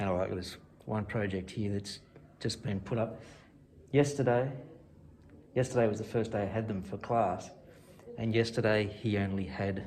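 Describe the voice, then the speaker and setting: With an Australian accent, a man speaks at a fairly low pitch and moderate pace, somewhat breathy, with fairly even intonation and long, frequent pauses. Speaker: woodwork teacher. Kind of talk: casual vlog talk to camera.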